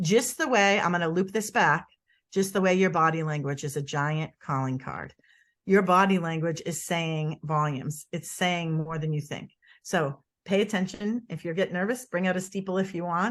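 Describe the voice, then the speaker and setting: A woman speaks at a moderate pace with a Boston accent and a fairly low pitch. Her pitch varies in an ordinary way, and the background is quiet. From US Northeast, Boston. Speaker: body language expert. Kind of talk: interview. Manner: animated.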